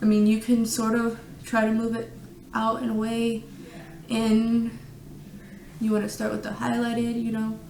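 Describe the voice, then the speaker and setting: Monotone, flat intonation at a moderate pace, with long, frequent pauses and noticeable background noise. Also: woman, fairly high pitch for a woman. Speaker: beauty vlogger. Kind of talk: casual makeup tutorial to camera. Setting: echoey room at home.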